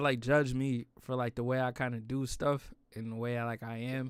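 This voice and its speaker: Heard on a very clean recording with a silent background, a man with an American accent talks at a very fast pace. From New York. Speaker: streamer. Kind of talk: casual chat.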